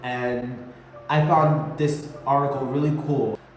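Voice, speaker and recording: Noticeable background noise sits behind a man with an American accent who speaks at a fairly slow pace, with a fairly high pitch and ordinary pitch variation. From Connecticut, US. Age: 20s. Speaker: YouTuber. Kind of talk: casual vlog monologue. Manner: many fillers, hesitant.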